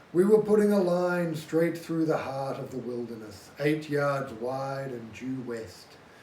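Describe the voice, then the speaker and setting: A man talks slowly-ish, at a fairly slow pace and fairly high pitch, with noticeable background noise around him. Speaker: amateur audiobook reader. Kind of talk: audiobook reading.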